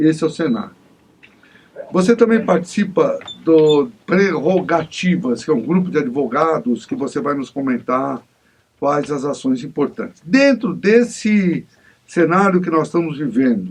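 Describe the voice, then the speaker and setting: This man has a fairly high pitch. His voice makes very wide pitch swings. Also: fairly slow pace. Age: 60s. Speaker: TV interview host and union leader. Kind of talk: TV interview.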